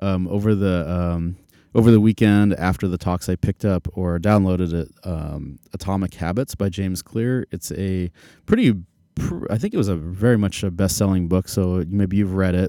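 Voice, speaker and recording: A man's very deep, low voice with a dark, mellow tone and an American accent, at a moderate pace with fairly even intonation, on a very clean recording with a silent background. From Arizona, Phoenix. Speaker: podcast host, tech leadership coach. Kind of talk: solo podcast monologue. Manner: casual, filler-heavy (um, uh).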